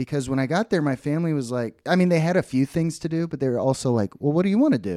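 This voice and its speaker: A man with an American accent, fairly high in pitch and dark, mellow in tone, at a very fast pace with hardly any pauses and lively intonation, on a very clean, silent-background recording with a dry, close sound and no echo. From Texas, Dallas. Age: 30s. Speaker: podcast co-host. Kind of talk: casual chat.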